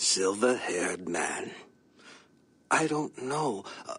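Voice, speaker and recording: A raspy, put-on character voice at a low-to-middle pitch, delivered at a very slow pace. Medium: video game. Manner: formal, measured.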